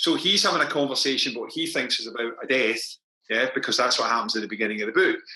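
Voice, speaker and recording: A man's very fast speech with a Scottish accent. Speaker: crime novelist. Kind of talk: author interview at book launch.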